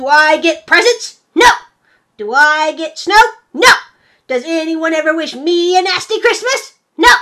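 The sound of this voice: A put-on character voice, shouting at an extremely high pitch, at a moderate pace with long, frequent pauses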